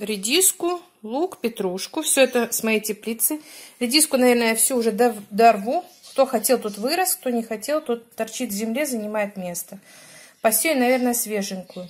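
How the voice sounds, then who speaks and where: The speech moves at a moderate pace. It has long, frequent pauses. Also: woman. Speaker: home cook vlogger. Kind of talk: casual cooking vlog chat. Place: kitchen. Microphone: phone near.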